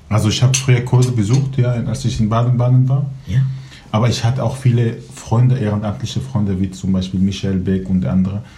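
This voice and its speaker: A man talks at a fairly quick pace and medium pitch with ordinary pitch variation, over noticeable background noise and audible room echo. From Syria, Aleppo. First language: Kurdish and Arabic (speaking German). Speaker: Syrian refugee, law graduate. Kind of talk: casual chat. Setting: at home over coffee and cake.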